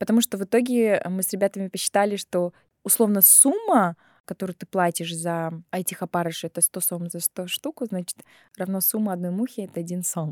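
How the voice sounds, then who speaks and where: Speaking at a fairly quick pace, a woman with a medium pitch shows big swings in loudness. The sound is dry and close, with no echo. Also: ordinary pitch variation. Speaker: journalist and artist. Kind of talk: interview storytelling. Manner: animated.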